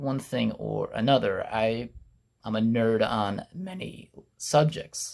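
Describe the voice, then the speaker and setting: Swinging very widely in pitch, a man speaks from a medium register. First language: not English. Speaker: YouTuber and podcaster. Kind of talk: casual vlog monologue. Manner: conversational, with fillers.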